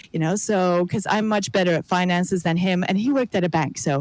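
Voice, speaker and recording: With an English accent, a woman speaks at a medium pitch and ordinary pitch variation. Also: very even loudness, very clean recording, silent background. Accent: Americanized English. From Greece. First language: not English. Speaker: abuse survivor, singer-songwriter. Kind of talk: interview testimony. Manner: halting, many fillers and repeats.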